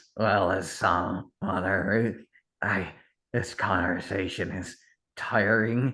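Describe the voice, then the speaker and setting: A raspy, put-on character voice comes through over a quiet background. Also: man. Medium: actual play. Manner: curt, strained.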